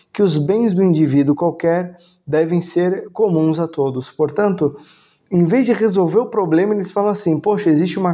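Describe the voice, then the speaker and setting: Fairly even in intonation, a man speaks at a high pitch with a dark, mellow tone. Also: quiet background. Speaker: philosophy and religion video host. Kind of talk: lecture. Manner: halting, many filler sounds.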